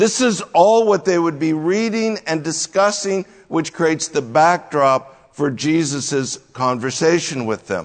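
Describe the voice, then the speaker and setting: A man at a high pitch, very slow in pace, with lively intonation. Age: 60s. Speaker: pastor. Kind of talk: sermon.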